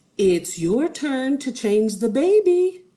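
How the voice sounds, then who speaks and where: A female-sounding, put-on character voice sits high in pitch, swinging very widely while moving at a fairly slow pace. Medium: read story.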